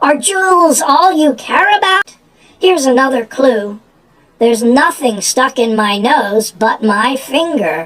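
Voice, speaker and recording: Putting on a character voice, a man pitches his speech extremely high. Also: fairly slow pace. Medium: read story. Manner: teasing, withholding.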